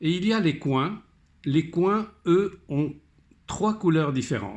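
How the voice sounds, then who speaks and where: Very slowly, a man with a fairly high pitch speaks using lively intonation. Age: 70s. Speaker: hobbyist tutorial maker. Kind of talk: tutorial.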